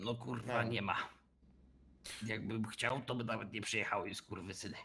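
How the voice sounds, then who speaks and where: In a put-on character voice, a raspy man talks at a fairly quick pace, with medium pitch and monotone, flat intonation. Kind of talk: crude colloquial speech. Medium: game stream. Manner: mumbling, evasive, sheepish.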